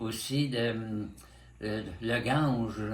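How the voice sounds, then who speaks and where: Audible room echo surrounds a man speaking at medium pitch with vocal fry and fairly even intonation. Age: 90s. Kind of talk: interview. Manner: halting.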